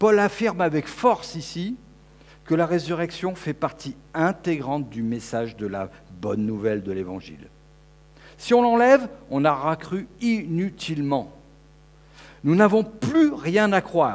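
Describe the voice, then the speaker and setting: High-pitched for a man, this speaker moves fairly slowly, swinging very widely in pitch and leaving long, frequent pauses. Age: 50s. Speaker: preacher. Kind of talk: sermon.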